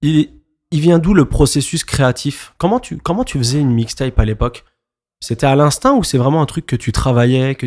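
Speaking at a moderate pace with ordinary pitch variation, a man with a medium-pitched voice is heard on a very clean recording with a silent background. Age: 30s. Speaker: podcast host and DJ. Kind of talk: casual interview. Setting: club venue.

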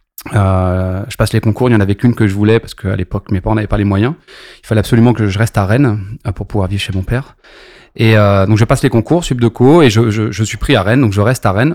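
The speech comes at a very fast pace with ordinary pitch variation. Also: man, fairly low pitch for a man. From Paris region, France (Maisons-Alfort). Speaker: champagne brand entrepreneur. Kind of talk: interview.

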